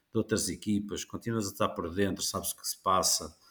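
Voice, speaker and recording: The man's pitch sits fairly low, with vocal fry. The recording is very clean with a silent background. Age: 60s. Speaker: motorsport journalist and commentator. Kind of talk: podcast interview. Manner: halting, many repetitions.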